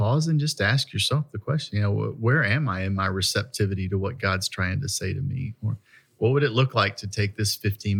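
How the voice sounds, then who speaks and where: A man speaks at a fairly low pitch, somewhat breathy. The recording is very clean, with a silent background. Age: 50s. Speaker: pastor. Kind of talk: casual chat.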